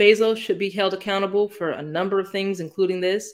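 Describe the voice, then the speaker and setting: A woman with an American accent, a plain, everyday voice, medium pitch and a fairly quick pace. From US Midwest, Northeast Ohio. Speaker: sports podcast guest, basketball fan. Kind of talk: casual chat.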